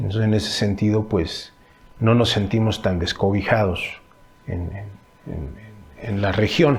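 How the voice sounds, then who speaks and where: A man's fairly low-pitched voice at a fairly slow pace, with ordinary pitch variation, long, frequent pauses, audible room echo and noticeable background noise. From Mexico, Temixco (Morelos). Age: 40s. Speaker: stage artist and cultural manager. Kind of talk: interview answers. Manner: halting, many fillers.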